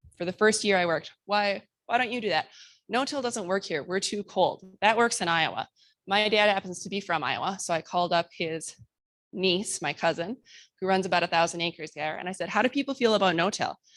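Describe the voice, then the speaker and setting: A woman with an American accent has an unremarkable speaking voice at a medium pitch with ordinary pitch variation, talking at a fairly quick pace on a very clean recording with a silent background. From Minnesota. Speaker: conservation presenter working with farmers. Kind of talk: conference presentation.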